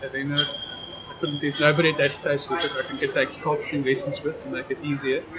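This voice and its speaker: A man speaks with a South African accent. Noticeable background noise and audible room echo fill the recording. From South Africa, Knysna. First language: Afrikaans. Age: 50s. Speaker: amateur documentary photographer. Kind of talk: casual chat.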